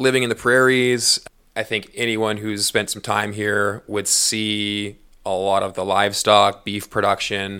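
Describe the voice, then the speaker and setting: A man in a Western Canadian accent, bright, sharp tone and monotone, flat intonation, in a very clean recording with a silent background. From northern British Columbia, Prince George. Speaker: podcast co-host and agriculture industry worker. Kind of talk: interview, casual chat. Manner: hesitant, many fillers.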